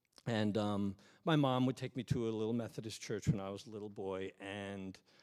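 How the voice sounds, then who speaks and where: Using an unremarkable speaking voice, a man talks at a moderate pace with fairly even intonation and a fairly low pitch. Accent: American. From New York. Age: 50s. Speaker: pastor. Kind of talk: sermon. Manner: casual, conversational.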